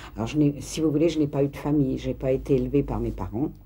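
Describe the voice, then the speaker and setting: A woman's very deep, low voice with a dark, mellow tone, vocal fry and ordinary pitch variation. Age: 60s. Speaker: interviewee, mother. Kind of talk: documentary interview testimony. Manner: halting, hesitant.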